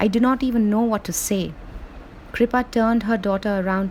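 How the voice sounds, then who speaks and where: Behind a woman's fairly even intonation, background noise is noticeable. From India. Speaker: author. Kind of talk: reading aloud.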